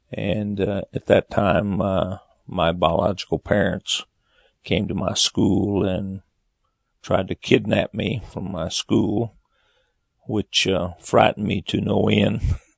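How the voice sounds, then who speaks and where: A man's fairly low voice with vocal fry and an American accent, very slow and flat in intonation, with long, frequent pauses and a dry, close sound free of echo. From Oklahoma, US. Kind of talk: personal testimony. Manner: hesitant, many filler uhs.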